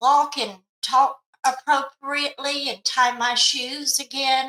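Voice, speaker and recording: In a raised, projected voice, a woman talks at a high pitch. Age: 70s. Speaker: mental health specialist. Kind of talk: interview testimony. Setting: podcast.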